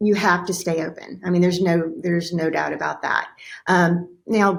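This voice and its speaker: This is a woman with an unremarkable speaking voice. Her pitch is medium and her pace fairly quick. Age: 60s. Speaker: entrepreneur. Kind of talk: interview.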